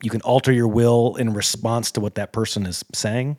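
The delivery is fairly quick, with monotone, flat intonation. The sound is dry and close, with no echo. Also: man. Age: 40s. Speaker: podcast host, amateur ultrarunner. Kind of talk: interview.

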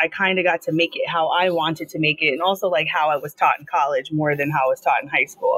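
Very fast speech comes from a woman with an American accent. Her pitch is fairly low. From Long Island, New York. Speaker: teacher. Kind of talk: interview. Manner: fast, run-on.

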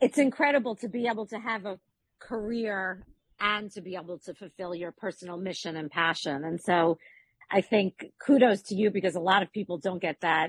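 A woman's medium pitch and a normal speaking voice at a fairly quick pace, with ordinary pitch variation and a dry, close sound with no echo. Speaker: co-interviewer, real estate professional. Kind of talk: casual interview conversation.

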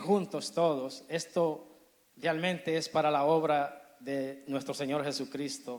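A man with a fairly high pitch talks at a fairly slow pace, his intonation fairly even. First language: Spanish. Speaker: Spanish ministry leader.

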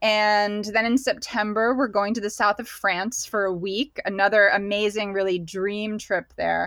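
A bright, sharp tone comes through at a moderate pace in a very clean recording with a silent background. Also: woman. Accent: American. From Pennsylvania, US. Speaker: painter and creative guide. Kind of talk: casual interview chat.

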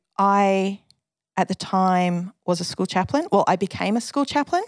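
A woman speaks at a moderate pace with an Australian accent. The sound is dry and close with no echo, on a very clean recording with a silent background. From Western Australia, Perth. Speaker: officer and former school chaplain. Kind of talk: interview testimony.

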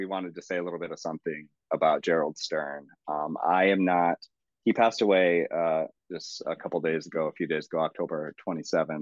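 Fairly even intonation in a man's very deep, low-pitched voice. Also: fairly quick pace. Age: middle-aged. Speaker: poet and podcast co-host. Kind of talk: casual chat about poetry.

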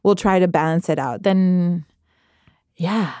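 A woman with a Quebec accent, her pitch fairly low and her pace fairly slow, over a very clean, silent background. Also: dry, close sound with no echo. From Quebec, Saint-Jean-sur-Richelieu. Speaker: arts coordinator and musician. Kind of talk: casual interview. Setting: studio. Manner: hesitant with fillers.

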